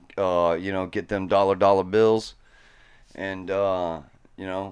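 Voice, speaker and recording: An unremarkable speaking voice moves at a fairly slow pace. The background is quiet. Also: man. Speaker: podcast co-host. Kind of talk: casual chat. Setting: studio. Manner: laid-back, stoked.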